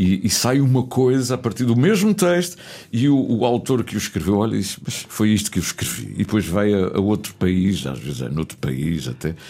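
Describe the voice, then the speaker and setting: A man's fairly low voice with very wide pitch swings, at a moderate pace with hardly any pauses. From Azores (São Miguel / Pico). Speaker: radio host. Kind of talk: casual interview. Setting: radio studio.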